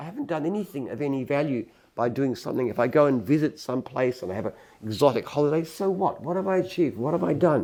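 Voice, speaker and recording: Speaking at a very fast pace, a man with an Australian accent uses lively intonation. His voice has a dark, mellow tone and fairly high pitch. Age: 70s. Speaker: entrepreneur. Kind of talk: interview. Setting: office headquarters.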